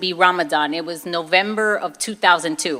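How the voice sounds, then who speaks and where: Lively intonation runs through this fairly slow delivery in a Brooklyn accent. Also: woman. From Brooklyn, New York, Puerto Rican family. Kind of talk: testimony.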